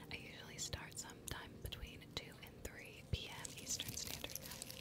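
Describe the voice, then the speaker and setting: The speaker is a woman who whispers. She keeps to a moderate pace. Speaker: ASMR livestream host. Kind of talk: ASMR livestream. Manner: soft-spoken, whispered. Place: home room. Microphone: studio mic.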